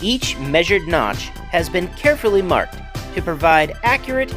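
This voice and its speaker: Music sits in the background while the speech moves at a moderate pace. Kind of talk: documentary-style process narration.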